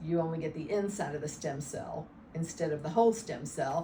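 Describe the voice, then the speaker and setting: A woman's fairly low voice with ordinary pitch variation at a moderate pace, amid noticeable background noise and audible room echo. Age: 60s. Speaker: patient. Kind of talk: testimony. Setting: interview. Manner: halting.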